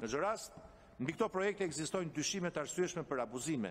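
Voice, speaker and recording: A man speaks with lively intonation. Light background noise is present. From Albania. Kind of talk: parliamentary speech. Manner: formal. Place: meeting room. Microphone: podium.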